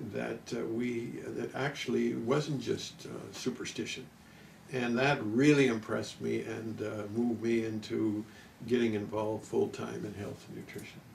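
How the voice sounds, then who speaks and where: Male speech amid noticeable background noise, with audible echo from the room. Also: moderate pace. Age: 70s. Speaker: nutrition and wellness doctor. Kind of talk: interview. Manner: halting.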